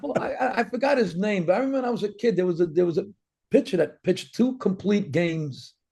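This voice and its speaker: A man speaks at a very fast pace and high pitch with lively intonation. Music plays in the background. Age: 60s. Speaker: comedian. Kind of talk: casual chat. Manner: animated.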